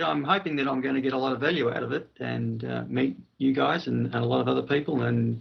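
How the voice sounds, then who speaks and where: A man talks at a fairly quick pace. He has an Australian accent. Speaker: IT manager. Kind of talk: casual roundtable discussion. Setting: call late at night.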